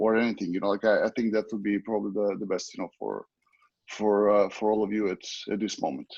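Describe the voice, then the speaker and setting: With a Serbian accent, a man with a fairly low voice talks very fast in a flat monotone. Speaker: water polo coach. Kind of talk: interview. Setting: video call. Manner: halting.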